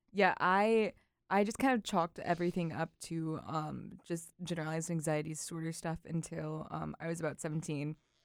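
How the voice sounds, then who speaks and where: Recorded very cleanly against a silent background, an ordinary speaking voice moves at a moderate pace with ordinary pitch variation. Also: woman, fairly low pitch for a woman. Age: 20s. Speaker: English student. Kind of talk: casual chat.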